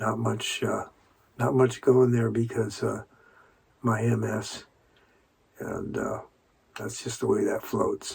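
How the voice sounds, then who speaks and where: The man talks very slowly, with long pauses coming often. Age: 60s. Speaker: person sharing illness experience. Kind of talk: personal testimony. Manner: halting, many fillers.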